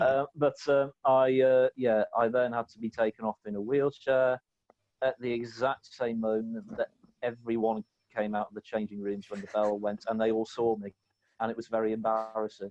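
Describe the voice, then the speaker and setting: Speaking with an English accent, a man keeps a medium pitch, fairly even intonation and a moderate pace while his loudness swings widely. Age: 20s. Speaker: podcast co-host. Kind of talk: casual chat.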